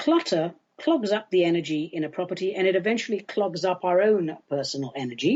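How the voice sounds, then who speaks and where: In a normal speaking voice, a woman talks at a fairly quick pace with hardly any pauses, her medium pitch carrying lively intonation. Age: 60s. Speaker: podcast host and shaman. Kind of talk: solo podcast talk. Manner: casual, playful.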